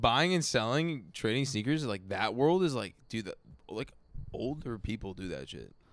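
A man with an unremarkable speaking voice speaks at a moderate pace and medium pitch with lively intonation on a very clean recording with a silent background. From Vancouver, Canada. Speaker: musician. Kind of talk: casual chat. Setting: backyard studio.

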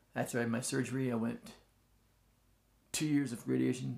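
The speaker is a man. He talks very fast. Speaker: cancer survivor. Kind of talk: interview. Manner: fast when excited or nervous; halting, many fillers.

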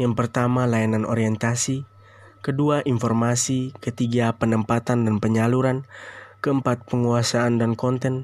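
A man talks at a fairly slow pace with monotone, flat intonation. His loudness stays very even. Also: medium pitch for a man. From Indonesia, Ende, Flores (East Nusa Tenggara). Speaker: university student. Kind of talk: class presentation. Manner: formal.

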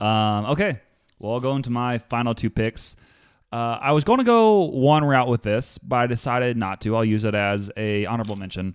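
With ordinary pitch variation, an unremarkable speaking voice keeps a moderate pace. The recording is very clean, with a silent background and a dry, close sound lacking any echo. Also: man, medium pitch for a man. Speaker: podcast co-host. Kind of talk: casual chat.

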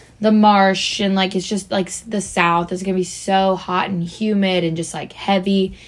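A woman talks in a normal speaking voice with fairly even intonation. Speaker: college podcast co-host. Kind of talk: casual chat.

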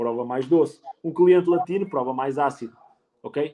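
At a moderate pace, an unremarkable speaking voice talks. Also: man. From Portugal, Penacova (Coimbra district). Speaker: sommelier. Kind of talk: casual interview. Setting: live stream.

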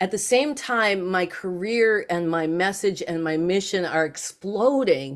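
Speaking at a fairly slow pace, a woman with a medium pitch uses lively intonation in an ordinary speaking voice, recorded very cleanly against a silent background. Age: 60s. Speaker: psychic channel and author. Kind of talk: casual interview conversation.

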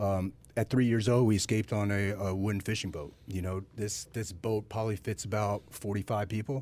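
Fairly low in pitch, a man talks at a fairly quick pace with hardly any pauses. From US South. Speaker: special operations military veteran. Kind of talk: podcast interview. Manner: calm; gentle.

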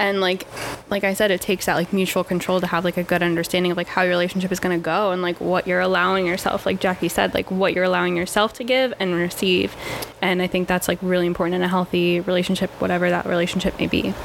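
A woman's medium-pitched, monotone voice at a very fast pace, with very even loudness and noticeable background noise. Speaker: podcast guest. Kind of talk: casual chat.

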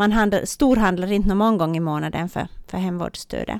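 A woman with an ordinary speaking voice at a medium pitch and moderate pace, with ordinary pitch variation, on a very clean recording with a silent background. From Ostrobothnia, Finland (Swedish-speaking). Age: 30s. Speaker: teacher and therapist. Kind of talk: faith testimony interview.

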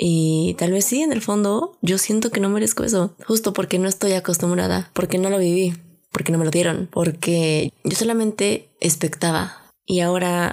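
At a moderate pace and very even loudness, a woman with a Mexican accent talks at a fairly low pitch with ordinary pitch variation. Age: 20s. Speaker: podcast host. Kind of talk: casual monologue. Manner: animated.

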